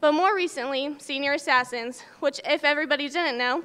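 A bright, sharp, raised and projected voice races at a very fast pace with ordinary pitch variation. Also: woman. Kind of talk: commencement speech. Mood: nostalgic, warm. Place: hall. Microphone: podium.

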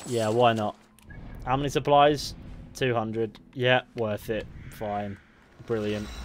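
With music in the background, a man with an English accent speaks at a medium pitch. His delivery is very slow with fairly even intonation and long, frequent pauses. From England. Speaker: gaming streamer. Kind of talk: live gameplay commentary. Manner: rambling.

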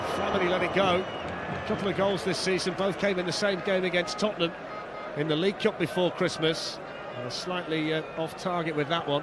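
A man's high-pitched, fairly quick speech against noticeable background noise. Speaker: football commentator. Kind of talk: live football match commentary. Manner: fast, excitable play-by-play.

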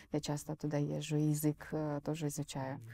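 The speaker is a woman with a very deep, low pitch. Her tone is dark and mellow. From Fergana Valley, southern Kyrgyzstan; southern Kyrgyzstan. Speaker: film director and entrepreneur. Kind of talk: interview. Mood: calm, thoughtful. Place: studio. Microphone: lapel.

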